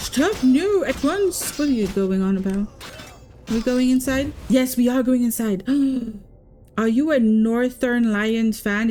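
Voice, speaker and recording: A woman's fairly high voice at a fairly slow pace, with very even loudness, ordinary pitch variation, long, frequent pauses and noticeable background noise. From Quebec, French Canada. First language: French. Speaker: VTuber game streamer. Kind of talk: live game stream commentary. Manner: casual, chatty.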